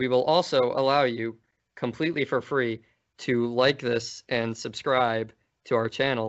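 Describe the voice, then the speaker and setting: Fairly slow and very even in loudness, a man with a plain, everyday voice speaks at a medium pitch with fairly even intonation. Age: 20s. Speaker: podcast host. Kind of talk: casual chat.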